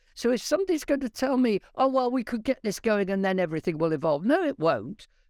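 A man speaks with a British accent in a high voice. His pitch swings very widely. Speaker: science professor and creationist speaker. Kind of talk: interview about science and faith. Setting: live video stream.

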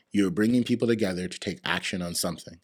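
The pitch moves in an ordinary way. A man is talking very fast. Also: very clean recording, silent background. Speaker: tech startup founder. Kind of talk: podcast interview.

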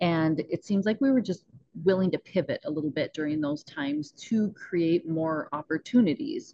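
A fairly low-pitched woman with a North Dakota accent, lively intonation and a moderate pace. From northwest North Dakota. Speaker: mindset coach and rancher. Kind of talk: podcast interview. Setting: video call.

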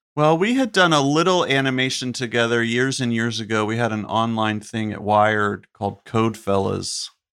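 On a very clean recording with a silent background, a man talks in a normal speaking voice with an American accent. His pitch is fairly low and his pace moderate. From US South, North Carolina (Chapel Hill). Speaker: comedian and TV writer. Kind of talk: casual chat.

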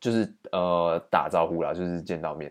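A man with a very deep, low pitch and a Taiwanese accent, at a moderate pace with ordinary pitch variation. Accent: Taiwanese Mandarin. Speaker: podcast host, exchange student. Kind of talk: solo storytelling monologue.

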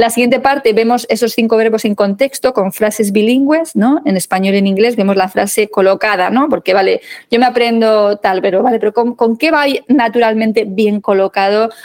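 A woman's fairly high voice at very even loudness, dry and close with no echo. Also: ordinary pitch variation, fairly quick pace. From Spain, Madrid. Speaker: legal English teacher. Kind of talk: interview.

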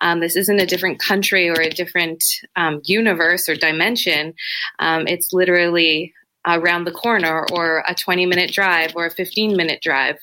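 With a Canadian accent, a woman talks at a moderate pace in a bright, sharp tone, her fairly low pitch held in monotone, flat intonation at very even loudness. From Toronto, Canada (Etobicoke). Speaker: literacy teacher. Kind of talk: interview.

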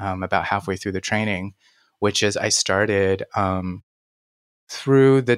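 An ordinary speaking voice from a man, fairly low in pitch, with ordinary pitch variation and a moderate pace, in a dry, close sound with no echo and a very clean recording with a silent background. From China (Beijing), moved to US at nine. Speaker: pianist and coach. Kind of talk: interview conversation.

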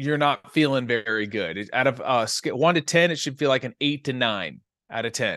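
A man talks in an animated, bright and sharp tone with lively intonation against a quiet background. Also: dry, close sound with no echo. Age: 40s. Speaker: sports scientist. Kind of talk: interview.

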